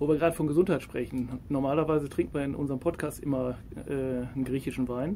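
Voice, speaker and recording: The speech moves at a very fast pace. The tone is dark and mellow. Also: man, fairly high pitch for a man, fairly even intonation. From Ruhr area, Germany. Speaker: podcast host. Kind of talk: casual interview.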